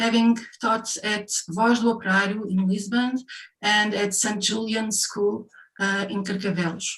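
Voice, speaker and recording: Her medium pitch and monotone, flat intonation mark this woman speaking with a Portuguese accent. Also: fairly slow pace. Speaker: session chair and design professor. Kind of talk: formal introduction of speakers. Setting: online session. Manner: reading from notes, with hesitations.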